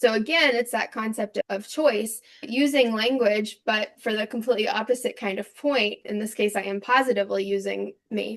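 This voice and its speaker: With an American accent, a woman talks at a moderate pace with hardly any pauses. Her voice is fairly high, with vocal fry and fairly even intonation. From US South (Atlanta and Nashville). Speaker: professor. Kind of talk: podcast interview.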